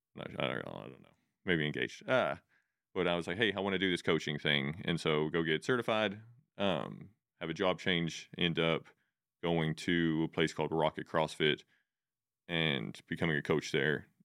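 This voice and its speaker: Speaking with an American accent, a man with a very deep, low pitch and vocal fry moves at a moderate pace, with ordinary pitch variation and long, frequent pauses. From Texas Panhandle area. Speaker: fitness coach and gym owner. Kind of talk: casual interview chat.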